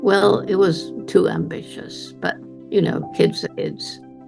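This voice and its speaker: Music plays in the background. The speech moves at a very slow pace. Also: woman. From England. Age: 80s+. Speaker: primatologist, conservationist. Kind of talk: interview answer, storytelling.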